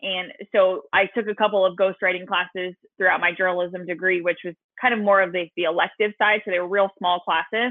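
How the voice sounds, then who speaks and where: A woman with an American accent speaks at a fairly quick pace in a medium pitch, her intonation monotone and flat. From Southern California. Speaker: social media marketing coach. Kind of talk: podcast interview.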